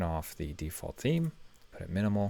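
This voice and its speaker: The voice belongs to a man. The recording is very clean, and the background is silent. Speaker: web design tutorial creator. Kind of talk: screen-recorded tutorial. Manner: fast.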